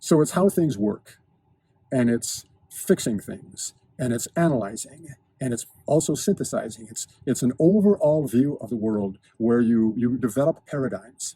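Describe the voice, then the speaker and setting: A man's medium-pitched, somewhat breathy voice carries a dark, mellow tone and lively intonation. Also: moderate pace, dry, close sound with no echo. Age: 60s. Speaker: lifestyle and fitness video host. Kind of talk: monologue to camera. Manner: precise, articulate diction; halting with repetitions.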